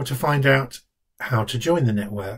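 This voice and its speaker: A man talks at a medium pitch with ordinary pitch variation. His voice is somewhat breathy over a quiet background. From London. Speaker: charity director. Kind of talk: scripted self-introduction. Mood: warm, calm, steady. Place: home room. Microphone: webcam.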